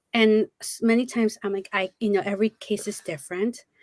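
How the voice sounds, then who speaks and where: The woman has a plain, everyday voice at medium pitch with ordinary pitch variation. She talks at a fairly quick pace in a dry, close sound with no echo. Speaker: parent advocate. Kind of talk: panel discussion.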